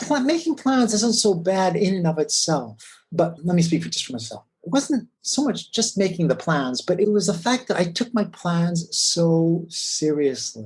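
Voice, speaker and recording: This man's high-pitched voice swings very widely in pitch as he talks at a moderate pace with hardly any pauses. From US Midwest (Wisconsin). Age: 50s. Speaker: corporate lawyer. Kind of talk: interview. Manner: halting, with frequent repetitions.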